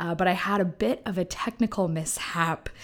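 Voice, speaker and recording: At a moderate pace, a woman talks in a medium pitch with ordinary pitch variation, an ordinary speaking voice. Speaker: podcast host. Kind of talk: scripted podcast intro.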